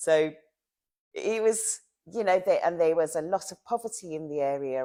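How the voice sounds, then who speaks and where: A woman with a London accent has a dark, mellow tone and lively intonation. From South London, England. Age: 60s. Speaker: long-time local resident. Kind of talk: oral history interview.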